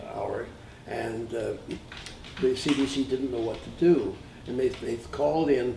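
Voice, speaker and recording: Room echo and clear background noise accompany a man delivering his words at a medium tempo. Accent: Canadian. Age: 80s+. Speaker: composer and arranger. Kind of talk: interview reminiscence. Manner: halting, repeats words.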